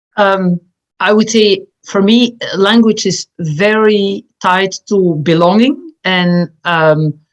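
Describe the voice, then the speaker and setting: With a Flemish accent, a woman speaks at a very slow pace and a medium pitch, with ordinary pitch variation, very even loudness and a dry, close sound with no echo. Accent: Belgian Dutch-speaker. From Belgium. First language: Dutch. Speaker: community nonprofit board member. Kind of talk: panel discussion.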